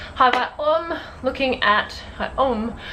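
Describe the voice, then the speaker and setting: A woman with an Australian accent speaks over noticeable background noise. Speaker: YouTuber, university student. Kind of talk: casual chat to camera. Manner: fast.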